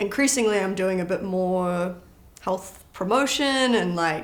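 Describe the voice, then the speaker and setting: A woman's medium-pitched voice comes with audible room echo around it. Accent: British. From born in London, grew up partly in New Zealand. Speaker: powerlifter. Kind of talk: casual interview.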